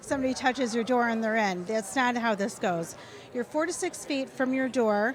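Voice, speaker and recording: Over noticeable background noise, a high-pitched woman speaks in an animated tone with lively intonation. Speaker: product demonstrator. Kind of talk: live product demo. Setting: retail store live event.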